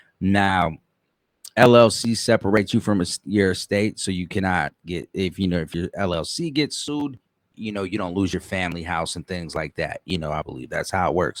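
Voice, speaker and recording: On a very clean, dry and close recording with no echo and a silent background, a man speaks in an animated tone at a moderate pace, his very deep, low voice showing ordinary pitch variation. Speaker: online show host. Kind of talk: casual commentary monologue.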